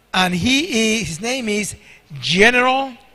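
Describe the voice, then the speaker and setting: His voice raised and projected, a man talks at an extremely high pitch. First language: Spanish. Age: 60s. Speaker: guest preacher. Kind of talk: sermon. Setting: church.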